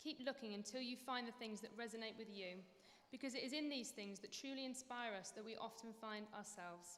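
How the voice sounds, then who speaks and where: A woman talks at a fairly quick pace with ordinary pitch variation. Her voice is high, and there is noticeable background noise. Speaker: dance lecturer. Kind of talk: graduation speech.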